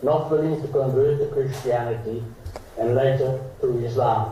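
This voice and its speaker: Speaking at a fairly slow pace, a man with a fairly high pitch keeps his intonation fairly even, while audible room echo and noticeable background noise fill the recording. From Slovakia. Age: 80s+. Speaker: Holocaust survivor. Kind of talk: formal speech. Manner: formal.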